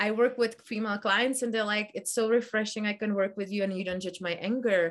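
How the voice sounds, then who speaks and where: Talking at a fairly quick pace, a woman with a Czech accent has a fairly high pitch. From Czech Republic. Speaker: meditation teacher. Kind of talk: casual chat. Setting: video call.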